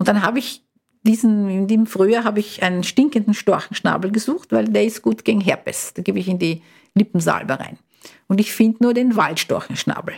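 The voice is somewhat breathy with ordinary pitch variation. It moves at a fairly quick pace. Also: woman, medium pitch for a woman. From Brazil. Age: 60s. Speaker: retired biochemist. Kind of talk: interview. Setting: studio.

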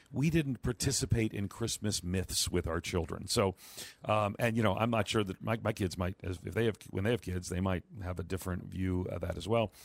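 A man in a normal speaking voice with an American accent talks at a fairly quick pace, his fairly low pitch showing ordinary pitch variation, the sound dry and close with no echo. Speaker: radio host. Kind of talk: call-in radio show. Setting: broadcasting remotely from the UK.

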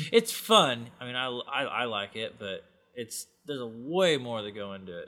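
This man has a bright, sharp tone at medium pitch with lively intonation. He speaks at a moderate pace on a very clean recording with a silent background. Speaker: cowboy and farrier. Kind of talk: interview, casual chat.

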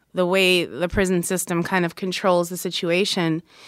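A woman with an unremarkable speaking voice at a medium pitch. The recording is very clean, with a silent background. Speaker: journalist. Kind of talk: interview.

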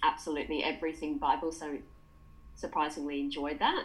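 A woman's very deep, low pitch, monotone and flat, with audible room echo. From England. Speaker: dietitian. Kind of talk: interview.

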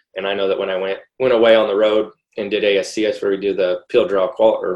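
A man with a Midwestern US accent at a moderate pace. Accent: US Midwest. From Iowa. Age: 30s. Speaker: sprint car driver. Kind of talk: casual chat.

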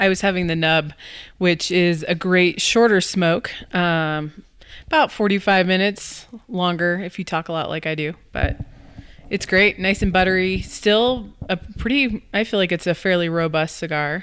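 In a quiet background, a woman with a normal speaking voice talks at a moderate pace and medium pitch with ordinary pitch variation. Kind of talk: casual chat.

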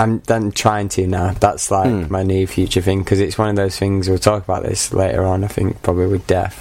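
A man with a Mancunian accent talks at a fairly quick pace. His very deep, low voice stays monotone and flat. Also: hardly any pauses. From Manchester, England. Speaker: media masters student. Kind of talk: casual chat.

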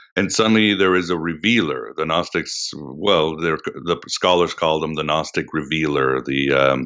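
At a moderate pace, a man talks with vocal fry in a very deep, low pitch. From Portugal. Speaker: podcast host, guest. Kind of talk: interview.

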